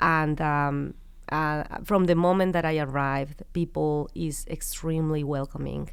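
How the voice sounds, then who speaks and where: A woman's very deep, low voice in a Mexican accent, monotone and flat, at a fairly slow pace, with audible room echo. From Mexico (Querétaro). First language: Spanish. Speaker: business founder. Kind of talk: interview.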